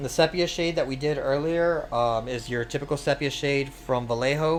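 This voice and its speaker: A man speaks at a moderate pace with fairly even intonation. His pitch sits fairly high, and there is noticeable background noise. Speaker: streamer and miniature painter. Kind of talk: live-streamed painting tutorial. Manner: casual, hesitant with fillers; mumbling at times.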